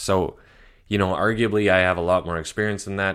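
On a very clean recording with a silent background, the speaker goes at a moderate pace with a Canadian accent. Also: man. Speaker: real estate agent, podcast host. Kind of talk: casual monologue. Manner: casual with frequent fillers.

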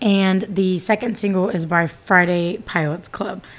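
A woman with an American accent, medium pitch and a fairly slow pace. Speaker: podcast host. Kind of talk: casual monologue.

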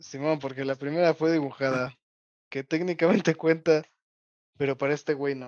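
The pace is fairly quick, broken by long, frequent pauses. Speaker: podcast co-host. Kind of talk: casual chat.

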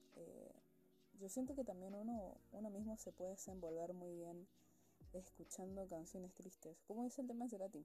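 A woman speaks at a moderate pace with a medium pitch and ordinary pitch variation. Her tone is dark and mellow, and somewhat breathy. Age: 20s. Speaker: student. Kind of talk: casual monologue. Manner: chatty, informal.

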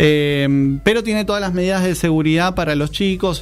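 Noticeable background noise sits under a man speaking at a moderate pace with ordinary pitch variation. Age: 30s. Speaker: tiktoker. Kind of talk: casual chat.

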